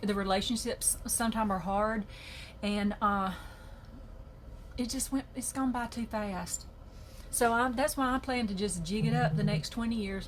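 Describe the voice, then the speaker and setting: With a Southern US accent, the speaker is somewhat breathy, moving at a moderate pace with ordinary pitch variation and long, frequent pauses. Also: woman, fairly high pitch for a woman. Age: 60s. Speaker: journaling video creator. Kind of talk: casual chat. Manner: animated.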